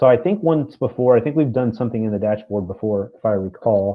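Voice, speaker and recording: A man's plain, everyday voice at medium pitch, moderate pace and lively intonation. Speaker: teacher. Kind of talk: online class lesson. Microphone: sound cutting out for one student.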